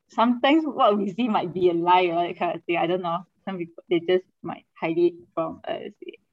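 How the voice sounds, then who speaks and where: In a Malaysian accent, a woman speaks at a moderate pace with a medium pitch and ordinary pitch variation. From Kuching, Sarawak, Malaysia. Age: 20s. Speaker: guest. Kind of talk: casual interview chat.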